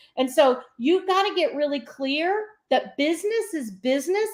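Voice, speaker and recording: Loud and animated, a woman with a high pitch swings very widely in pitch on a very clean recording with a silent background. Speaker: business coach and speaker. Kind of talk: interview.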